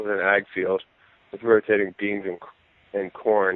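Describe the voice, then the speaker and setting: With an American accent, the speaker delivers the words at a moderate pace. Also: man. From Maryland, near Washington D.C. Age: 20s. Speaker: deer hunter. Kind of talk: casual podcast interview. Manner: halting, many fillers.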